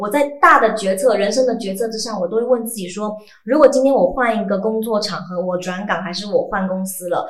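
Over noticeable background noise, an animated voice rushes along at a fairly quick pace with hardly any pauses, ordinary pitch variation and big swings in loudness. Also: woman. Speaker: voice actor. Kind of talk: casual chat.

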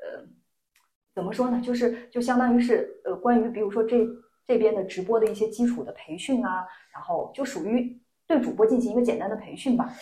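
Amid audible room echo, a woman with a high pitch and a dark, mellow tone speaks at a fairly quick pace, her loudness swinging widely. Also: fairly even intonation. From Lanzhou, Gansu, northwest China. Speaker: job seeker in a mock interview. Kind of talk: mock job interview. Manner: halting.

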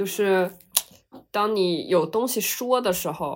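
This is a woman talking. It is a very clean recording with a silent background. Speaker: podcast co-host, university student. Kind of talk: casual chat.

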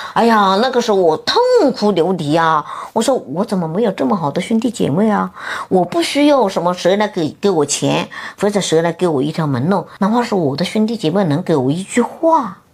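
At a fairly quick pace, a woman with medium pitch and lively intonation holds very even loudness over noticeable background noise. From Hunan, Xinhua county. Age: 50s. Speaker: office building cleaner and self-taught painter. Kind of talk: interview about life story.

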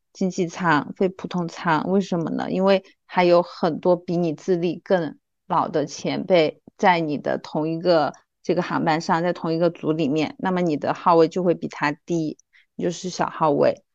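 Against a quiet background, a woman with vocal fry speaks at a moderate pace in a fairly low pitch with fairly even intonation. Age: 30s. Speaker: former flight attendant, account manager. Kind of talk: casual chat.

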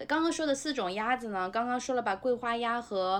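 A woman with an unremarkable speaking voice talks at a moderate pace. Her pitch varies ordinarily against a quiet background. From Nanjing suburbs, China. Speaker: former restaurant industry worker. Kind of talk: casual chat.

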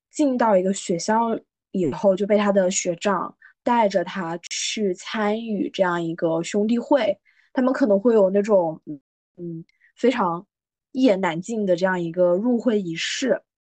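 A woman with a medium pitch and a dark, mellow tone speaks fairly slowly with lively intonation, in a dry, close sound with no echo. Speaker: podcast host. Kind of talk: casual chat.

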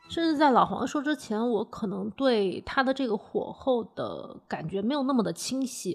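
Her high pitch and lively intonation carry a woman's speech at a moderate pace with hardly any pauses. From Hunan, Changsha. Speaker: food podcast host. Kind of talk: podcast narration and conversational interview.

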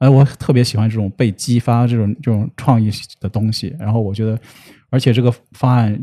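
The voice has a dark, mellow tone and fairly even intonation, moving at a fairly quick pace. The sound is dry and close with no echo, over a quiet background. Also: man, medium pitch for a man. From Shanxi, northern China. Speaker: internet company business professional. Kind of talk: casual interview.

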